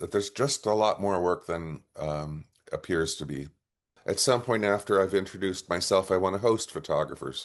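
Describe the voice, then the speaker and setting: A normal speaking voice talks at a moderate pace with ordinary pitch variation against a quiet background. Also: man, fairly low pitch for a man. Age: 60s. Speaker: photojournalist. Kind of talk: interview.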